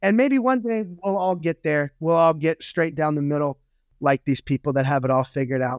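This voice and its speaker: A man with an American accent and a normal speaking voice talks at a fairly quick pace, fairly high in pitch and with lively intonation. The sound is dry and close with no echo, over a quiet background. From Louisiana, US South. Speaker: motivational speaker and former pastor. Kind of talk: casual interview chat.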